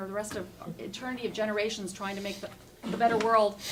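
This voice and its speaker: Background noise is noticeable. The voice belongs to a woman. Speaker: speaker giving a talk. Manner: fast talker.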